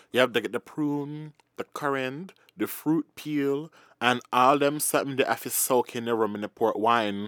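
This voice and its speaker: On a very clean recording with a silent background and a dry, close sound with no echo, a man speaks at a moderate pace with a medium pitch and ordinary pitch variation. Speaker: podcast co-host. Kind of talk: casual chat, comedic banter. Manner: animated, sassy, expressive.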